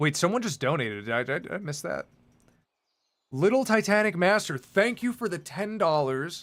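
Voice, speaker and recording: A man with an American accent at a high pitch, with very wide pitch swings and a fairly quick pace, on a very clean recording with a silent background. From US, Greek American, New York City. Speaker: livestreamer and artist. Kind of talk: casual livestream chat reading viewer messages. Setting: live stream on camera. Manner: casual, animated.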